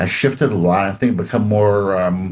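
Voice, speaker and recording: With a Canadian accent, this man talks at a moderate pace in a fairly low pitch. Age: 60s. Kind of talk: interview. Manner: halting.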